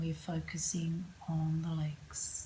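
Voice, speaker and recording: Very slow and somewhat breathy, the voice has a calm, soothing tone. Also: woman. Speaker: yoga nidra and meditation guide. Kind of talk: guided relaxation / yoga nidra. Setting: yoga studio. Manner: calm, slow, soothing.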